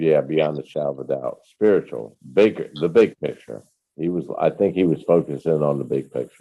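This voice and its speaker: At a moderate pace, a man speaks with vocal fry in a very deep, low pitch. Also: ordinary pitch variation. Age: 60s. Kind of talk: casual chat. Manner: animated.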